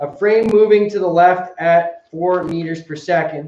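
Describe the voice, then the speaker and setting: Loud and high-pitched for a man, his voice carries audible echo from the room. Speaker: high school teacher. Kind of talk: lecture.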